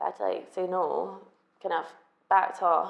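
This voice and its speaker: Speaking at a moderate pace, a woman talks with an Edinburgh accent. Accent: Scottish (Edinburgh). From Scotland, Edinburgh. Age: 20s. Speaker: hairdresser, documentary interviewee. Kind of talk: testimony.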